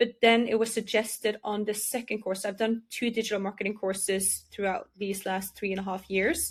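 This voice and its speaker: A woman talks at a moderate pace in a Norwegian accent, with hardly any pauses. Her intonation is fairly even. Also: medium pitch for a woman. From Norway. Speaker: digital marketing entrepreneur. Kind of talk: interview.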